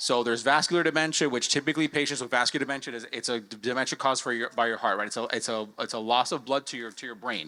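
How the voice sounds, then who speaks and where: Talking at a very fast pace with hardly any pauses, a man with a Spanish accent has a medium pitch and a bright, sharp tone. His pitch varies in an ordinary way, and the recording is very clean with a silent background. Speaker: healthcare panelist. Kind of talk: conference panel talk.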